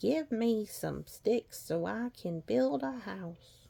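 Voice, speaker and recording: A female-sounding voice puts on a character voice at a middle pitch. The delivery is very slow. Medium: read story. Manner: polite, then defiant.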